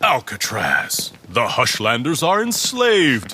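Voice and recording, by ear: A man uses a put-on character voice at medium pitch, bright and sharp with a husky, rough edge. He talks at a very slow pace.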